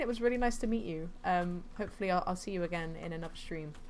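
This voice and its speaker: A woman races along at a very fast pace, with audible room echo. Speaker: gaming streamer. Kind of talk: live gameplay commentary. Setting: home, streaming.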